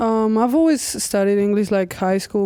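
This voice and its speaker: A woman's medium-pitched voice with a dark, mellow tone moves at a fairly quick pace in a very clean recording with a silent background. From Spain, Catalonia. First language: Spanish/Catalan. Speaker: college basketball player. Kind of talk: casual interview.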